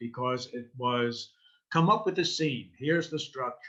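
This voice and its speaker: Bright and sharp in tone, a man speaks with a New York accent. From New York City (Queens). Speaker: improv teacher and performer. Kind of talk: interview.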